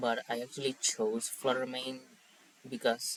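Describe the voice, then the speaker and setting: A man speaks with a Spanish accent. His pitch is medium and his pace is moderate. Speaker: Pokemon draft league player. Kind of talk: casual commentary.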